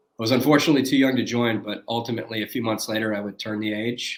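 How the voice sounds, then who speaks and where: A man with a northern US accent, medium pitch with ordinary pitch variation, a bright, sharp tone and a fairly quick pace. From US Midwest, Detroit, Michigan. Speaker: former Navy SEAL, founder of a performance project. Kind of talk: interview.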